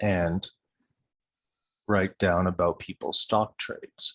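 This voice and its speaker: The speaker is a soft-spoken man. He talks at a fairly slow pace. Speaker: podcast co-host. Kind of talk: casual discussion.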